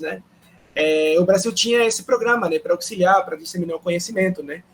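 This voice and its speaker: Over background music, a man talks at a high pitch, his pitch varying in an ordinary way. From Peru. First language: Spanish (speaking Portuguese). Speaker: professor. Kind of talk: panel talk. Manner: hesitant, many fillers.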